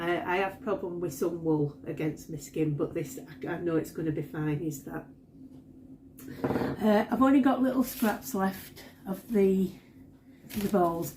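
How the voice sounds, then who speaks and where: A woman's fairly low voice in a Yorkshire accent, lively in intonation, at a fairly slow pace with long, frequent pauses and noticeable background noise. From Yorkshire, northern England. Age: 60s. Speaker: crochet vlogger. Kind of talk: casual vlog talk. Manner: halting, many fillers and repeats.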